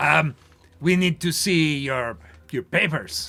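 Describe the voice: Using a put-on character voice, a man speaks slowly at a fairly high pitch with vocal fry, a bright, sharp tone and ordinary pitch variation.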